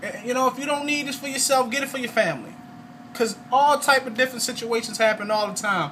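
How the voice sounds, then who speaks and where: Amid noticeable background noise, a man with an extremely high pitch talks very fast in a raised, projected voice and an animated tone. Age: 30s. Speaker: network marketing salesman. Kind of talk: testimony sales pitch. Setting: at home, video recording.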